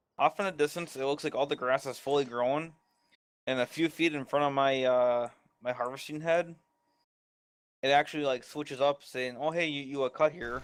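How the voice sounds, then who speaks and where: This man, with a Canadian accent, has a fairly high pitch and leaves long, frequent pauses. The recording is very clean, with a silent background. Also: fairly even intonation, moderate pace. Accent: sounds Canadian. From northern Wisconsin, near Upper Michigan. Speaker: gaming livestream co-player. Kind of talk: casual chat during gameplay livestream. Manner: halting.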